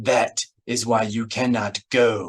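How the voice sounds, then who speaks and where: This is a put-on character voice with a growl and fairly even intonation. The sound is dry and close, with no echo. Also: man. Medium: read story. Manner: blunt, formal.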